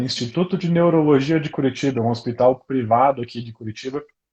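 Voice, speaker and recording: A man speaks in a somewhat breathy voice. The tone is dark and mellow. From Brazil, interior of Paraná. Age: 20s. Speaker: neurologist. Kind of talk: interview about health. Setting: live stream. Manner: fast when excited.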